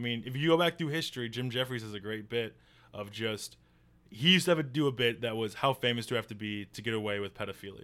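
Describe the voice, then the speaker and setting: A man with an American accent at a very fast pace, medium in pitch, with ordinary pitch variation and big swings in loudness. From northern Illinois, US. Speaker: newspaper worker and comedian. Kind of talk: casual chat.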